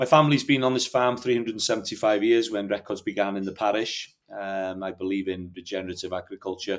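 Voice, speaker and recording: A man with a Welsh accent talks very fast with hardly any pauses. His pitch is fairly low, with ordinary variation. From North Wales. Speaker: hill farmer. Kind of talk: podcast interview.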